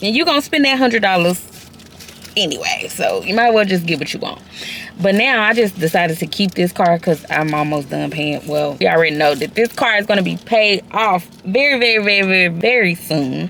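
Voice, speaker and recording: An animated woman at a medium pitch and fairly quick pace, with lively intonation over noticeable background noise. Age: 30s. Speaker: lifestyle vlogger. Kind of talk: casual vlog chat. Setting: in a car. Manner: loud.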